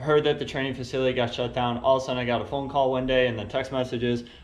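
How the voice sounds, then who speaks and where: Very fast speech from a man at medium pitch, with audible room echo. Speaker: vlogger and car builder. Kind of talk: casual vlog update.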